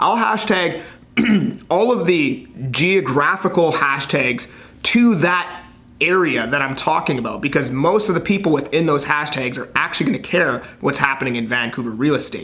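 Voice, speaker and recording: A man's fairly high voice at a moderate pace with lively intonation, amid noticeable background noise and audible room echo. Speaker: realtor and social media content creator. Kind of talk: tutorial. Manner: casual, conversational.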